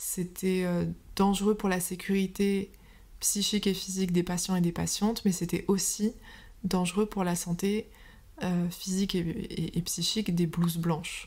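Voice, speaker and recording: A somewhat breathy woman at medium pitch, fairly slow, with very even loudness. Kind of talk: interview answer.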